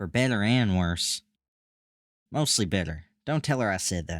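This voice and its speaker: In a very clean recording with a silent background, a man mumbles at a moderate pace in a put-on character voice, his pitch fairly low. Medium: read story. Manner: drowsy, mumbling.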